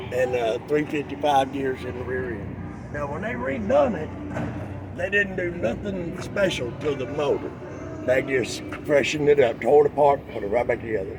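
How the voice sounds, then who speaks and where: Over noticeable background noise, a man with a Southern US accent speaks at a fairly high pitch. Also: lively intonation, moderate pace. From Arkansas. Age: 60s. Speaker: classic truck owner, retired engineer. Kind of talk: casual chat.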